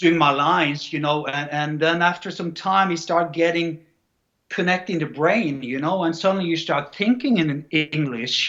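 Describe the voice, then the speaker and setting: In a Scandinavian accent, a man speaks at a moderate pace. His pitch is high, with ordinary variation. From Norway. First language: Norwegian. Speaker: actor and bodybuilder. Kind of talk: interview. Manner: halting, repeats words.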